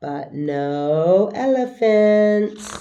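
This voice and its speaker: The speaker is a woman using a put-on character voice. Her pitch is medium. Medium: read story.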